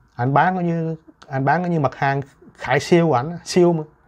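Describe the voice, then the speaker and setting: The speech carries fairly even intonation against a quiet background. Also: man. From Vietnam. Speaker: YouTuber. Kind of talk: monologue. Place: home room.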